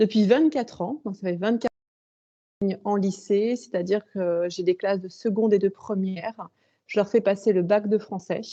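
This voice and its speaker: A woman talks at a moderate pace with a medium pitch. Her intonation is fairly even and her tone dark and mellow. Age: 40s. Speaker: author and high school French teacher. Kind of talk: interview. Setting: video call. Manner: hesitant, many fillers.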